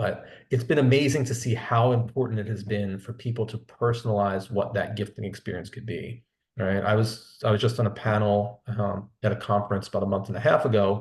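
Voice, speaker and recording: A man with a slight Philadelphia accent talks at a fairly quick pace and a fairly low pitch. His voice is somewhat breathy, with fairly even intonation. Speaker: sales executive. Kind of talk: webinar interview. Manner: conversational, with frequent repetitions.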